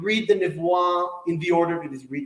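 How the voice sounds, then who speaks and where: A man with an Israeli accent, with audible room echo. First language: Hebrew. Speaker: Torah teacher. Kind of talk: lecture. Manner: halting.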